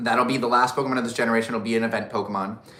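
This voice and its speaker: Noticeable background noise and audible room echo surround a man talking at a very fast pace in an animated tone. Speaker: YouTuber doing live Q&A. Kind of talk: casual live stream chat. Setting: live stream. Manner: loud; animated, off the cuff.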